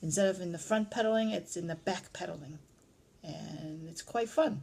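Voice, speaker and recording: A somewhat breathy woman's voice. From Vietnam, Chinese community. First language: Cantonese. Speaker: parent. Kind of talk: family interview.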